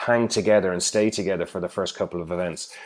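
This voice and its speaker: A man with an Irish accent speaks at a fairly quick pace in a very deep, low voice, his intonation fairly even. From Ireland. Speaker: referral marketing trainer. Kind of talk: interview. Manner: halting, many fillers.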